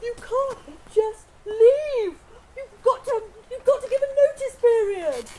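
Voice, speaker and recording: This is a put-on character voice, squeaky and extremely high in pitch. It moves along at a fairly slow pace. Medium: stage play. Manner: indignant, huffy.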